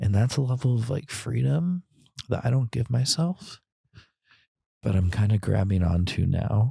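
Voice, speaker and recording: A man whispering, soft-spoken and somewhat breathy, at a moderate pace with long, frequent pauses, very even loudness and a dry, close sound with no echo. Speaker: grieving sibling. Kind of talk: personal monologue. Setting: outdoors on a trail.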